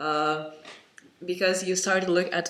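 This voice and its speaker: A man speaks fairly slowly with a non-native accent and a flat, monotone delivery. Noticeable noise sits in the background. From Lithuania. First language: Lithuanian. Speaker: vlogger. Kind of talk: personal vlog monologue. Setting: home, parent in next room. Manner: halting, many fillers.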